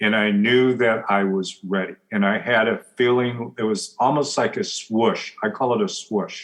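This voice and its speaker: With a West Coast US accent, a man talks at a fairly slow pace and a medium pitch, his pitch varying in an ordinary way, his loudness very even and his speech with hardly any pauses. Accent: General American (West Coast). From US Pacific Northwest, Portland, Oregon. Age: 60s. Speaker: business coach and author. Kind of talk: interview conversation.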